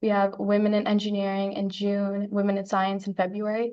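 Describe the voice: Speaking at a fairly quick pace, a woman with a medium pitch and a slightly mellow tone keeps her intonation flat and monotone.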